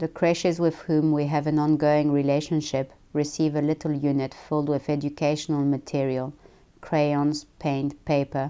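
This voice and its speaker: A woman's very deep, low voice, dark and mellow in tone, monotone and flat, at a moderate pace with very even loudness, on a very clean recording with a silent background. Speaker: founder of a children's book charity. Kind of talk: presentation speech read aloud. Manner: monotonous.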